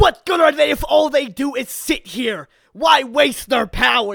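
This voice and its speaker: In an extremely high pitch and at a moderate pace, a man performs a put-on character voice. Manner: exaggerated, bad villain voice.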